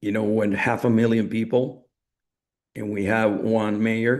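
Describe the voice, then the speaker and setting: Speaking with a Spanish accent, a man with a fairly low pitch keeps his intonation flat and monotone. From Latin America. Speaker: network marketing speaker. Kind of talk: coaching talk on a group call.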